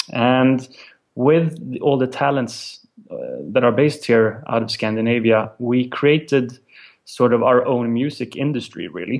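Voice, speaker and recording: With a Swedish accent, a man talks at a fairly slow pace and medium pitch, with ordinary pitch variation. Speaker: music company representative. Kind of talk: interview. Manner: halting.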